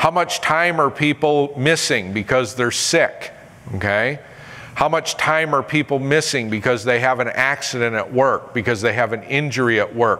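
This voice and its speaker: This man has a plain, everyday voice with an American accent, a medium pitch and ordinary pitch variation. He keeps a moderate pace and very even loudness. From upstate New York. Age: 50s. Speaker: motivational speaker and safety trainer; presenter. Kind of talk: seminar presentation. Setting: stage with audience. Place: hall.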